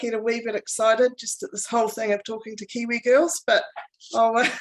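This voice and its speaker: With a New Zealand accent, this woman talks at a moderate pace in a fairly high pitch and fairly even intonation. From New Zealand, Palmerston North. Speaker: club manager, interviewer. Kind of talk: interview.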